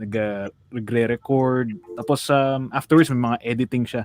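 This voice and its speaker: A man at a medium pitch, with monotone, flat intonation, a moderate pace, and a dry, close sound with no echo. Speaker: online radio co-host, voice actor. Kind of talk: casual chat.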